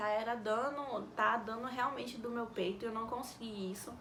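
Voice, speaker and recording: Soft-spoken and fairly high in pitch, a woman is heard through audible room echo and noticeable background noise. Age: young. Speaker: vlogger, mother. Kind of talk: casual Q&A vlog.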